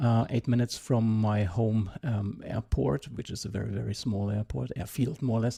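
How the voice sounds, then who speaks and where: The tone is dark and mellow, somewhat breathy, with ordinary pitch variation. Speech runs at a moderate pace with hardly any pauses. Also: man, medium pitch for a man. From Germany. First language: German. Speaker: pilot and electric aviation promoter. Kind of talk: interview. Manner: hesitant, many fillers.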